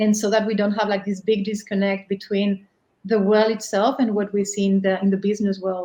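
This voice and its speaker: In a Spanish accent, a woman at medium pitch talks at a fairly quick pace, her delivery monotone and flat, her tone dark and mellow. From Spain. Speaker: business leader. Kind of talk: podcast monologue.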